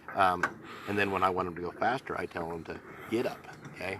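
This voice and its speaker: A man talking at a very fast pace with ordinary pitch variation over noticeable background noise. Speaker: horse riding instructor. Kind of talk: live lesson demonstration. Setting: outdoors on a horse-drawn wagon.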